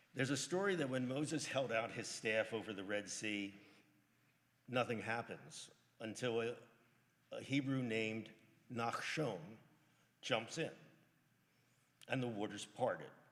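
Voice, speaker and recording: Marked by long, frequent pauses, the speech moves at a moderate pace with ordinary pitch variation and audible room echo. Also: man, medium pitch for a man. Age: 70s. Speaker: lay service leader at a synagogue. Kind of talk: religious service remarks. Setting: synagogue sanctuary, live-streamed. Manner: halting at times.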